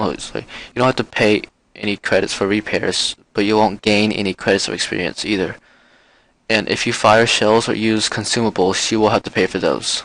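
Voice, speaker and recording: Against a quiet background, a man with a fairly low pitch talks fairly quickly in an ordinary speaking voice, with fairly even intonation. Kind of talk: game tutorial voice-over. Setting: muffled microphone.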